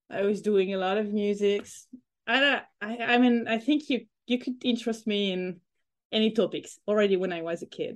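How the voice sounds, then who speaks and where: A woman speaks in a French accent at a moderate pace. Her pitch is fairly high, with ordinary variation. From France (Corsica, moved around France). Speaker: economist, historian of economic thought. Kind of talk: interview. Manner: halting. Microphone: bad connection.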